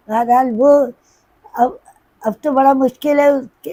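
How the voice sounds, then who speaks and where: This woman's voice is high in pitch, with ordinary pitch variation. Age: 80s+. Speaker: singer. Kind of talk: interview answer.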